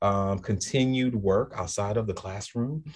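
With a slight New Orleans accent, a man speaks in a fairly low pitch and fairly even intonation against a quiet background. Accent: little New Orleans drawl. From New Orleans, US South. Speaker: school leader. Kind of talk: casual interview.

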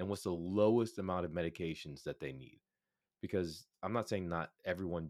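This man's voice is very deep and low, with vocal fry and ordinary pitch variation at a fairly quick pace. The recording is very clean, with a silent background. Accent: American. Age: 40s. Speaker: physician and pharmacist. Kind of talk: interview.

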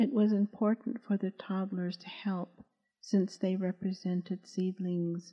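Somewhat breathy, with a dark, mellow tone, a woman speaks fairly slowly at a medium pitch in a monotone, flat delivery. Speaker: audiobook narrator and author. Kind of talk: audiobook reading of a novel, scripted narration. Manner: formal, even, reverent tone with Navajo words pronounced carefully.

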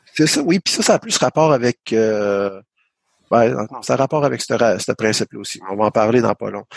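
A man with an unremarkable speaking voice at medium pitch and moderate pace, ordinary pitch variation, and a dry, close sound with no echo. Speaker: podcast host, programmer. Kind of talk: casual technical discussion.

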